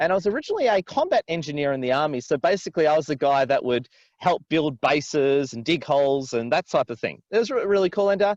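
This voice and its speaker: Speech in an Australian accent comes at a very fast pace with hardly any pauses and lively intonation. The sound is dry and close with no echo. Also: man, fairly high pitch for a man. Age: 40s. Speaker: business coach and influencer. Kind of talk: interview. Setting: outdoors by a river, video call.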